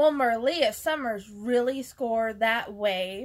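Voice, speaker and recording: Using a put-on character voice, a woman speaks at a very slow pace and a fairly high pitch in a very clean recording with a silent background. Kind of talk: sports commentary. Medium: read story.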